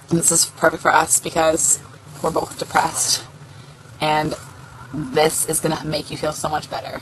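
A raspy, put-on character voice at a middle pitch, monotone and flat, at a moderate pace with long, frequent pauses and clear background noise. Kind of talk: casual vlog chat. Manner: flat, downcast. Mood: warm, playful, slightly wry.

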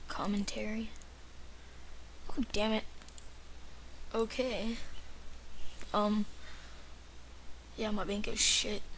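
A man speaks in a high voice with a flat, monotone delivery. His pace is very slow, with long and frequent pauses over light background noise. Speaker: gamer. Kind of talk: video game commentary. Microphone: webcam.

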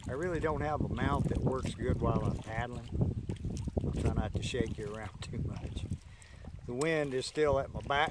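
Moderate pace, ordinary pitch variation and long, frequent pauses, with noticeable background noise. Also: man, medium pitch for a man. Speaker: kayaker vlogger. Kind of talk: casual vlog narration. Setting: outdoors on kayak. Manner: relaxed, casual.

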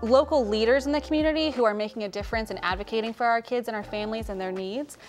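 Faint music plays behind a woman who speaks at a fairly quick pace with ordinary pitch variation. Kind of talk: interview answer. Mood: warm, earnest. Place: studio.

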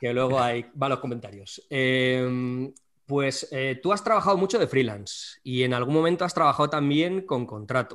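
Medium in pitch, a man with an unremarkable speaking voice talks at a moderate pace with lively intonation. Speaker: YouTube drawing channel host. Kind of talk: casual interview chat.

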